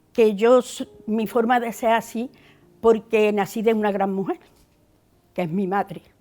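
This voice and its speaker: Speaking in an Andalusian accent, a woman uses a fairly high voice with a dark, mellow tone at a fairly slow pace. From Andalusia, La Rambla (Córdoba). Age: 70s. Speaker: interviewee sharing memories. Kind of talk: personal testimony. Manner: halting.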